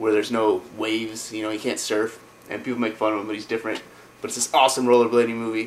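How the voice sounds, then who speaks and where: Over noticeable background noise, a man with a medium-pitched voice talks very fast in a monotone, flat delivery. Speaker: video game vlogger. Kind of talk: casual vlog. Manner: casual, many fillers.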